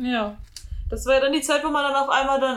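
A woman speaks in an ordinary speaking voice with ordinary pitch variation. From Germany, NRW (Ruhr area). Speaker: police officer, co-host. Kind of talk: casual chat.

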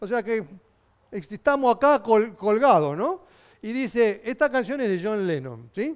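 A man's high-pitched voice with lively intonation. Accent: Rioplatense. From Argentina, Buenos Aires. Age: 60s. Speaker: pastor. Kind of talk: sermon. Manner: halting.

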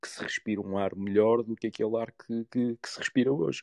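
In a dry, close sound with no echo, a man talks very fast at a medium pitch with fairly even intonation. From Porto, northern Portugal. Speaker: football club president. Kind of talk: interview.

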